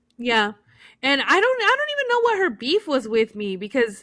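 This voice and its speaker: A woman with a Spanish accent has a bright, sharp tone and very wide pitch swings, on a very clean recording with a silent background. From United States, raised in Spanish-speaking Mexican family. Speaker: podcast co-host. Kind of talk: casual chat. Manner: halting, many fillers.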